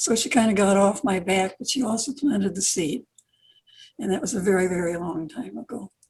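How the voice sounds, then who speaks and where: A woman talks fairly quickly at a medium pitch. Her voice is somewhat breathy, with lively intonation. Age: 80s+. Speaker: children's author. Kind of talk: interview.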